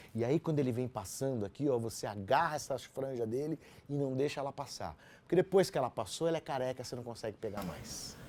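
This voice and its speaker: A very fast-talking man with a dark, mellow tone, medium pitch and ordinary pitch variation. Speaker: radio announcer. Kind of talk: interview.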